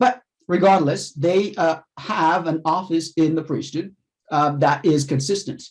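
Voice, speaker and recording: Speaking with a slight non-native accent, a man keeps a fairly slow pace. His pitch is fairly high, with ordinary variation. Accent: near-native English, slight non-native. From Haiti. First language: French or Haitian Creole. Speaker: professor. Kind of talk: lecture. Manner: halting, many fillers.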